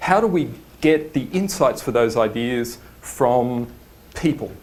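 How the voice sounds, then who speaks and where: With audible room echo, a man speaks in an Australian accent with lively intonation. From Australia, Sydney. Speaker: design studio principal, conference speaker. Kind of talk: conference talk. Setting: stage with audience. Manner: hesitant, many fillers. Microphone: microphone cutting in and out.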